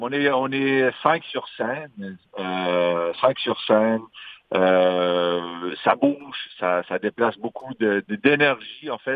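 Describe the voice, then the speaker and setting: A man at a medium pitch talks very slowly with lively intonation. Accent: Magdalen Islands. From Magdalen Islands, Quebec. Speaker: singer-songwriter. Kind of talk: interview.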